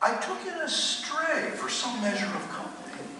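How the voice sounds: In a put-on character voice, a man talks at a moderate pace with an extremely high, bright, sharp pitch and big pitch swings, amid strong room echo.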